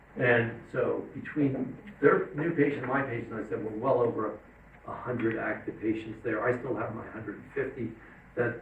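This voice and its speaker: A man with a medium pitch talks at a fairly quick pace. There is noticeable background noise and audible room echo. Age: 60s. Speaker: psychiatrist. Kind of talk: lecture. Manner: casual, conversational.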